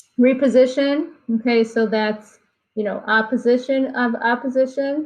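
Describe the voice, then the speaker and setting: A woman talks in a plain, everyday voice. Her pace is fairly slow and her intonation fairly even. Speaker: anatomy instructor. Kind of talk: lecture.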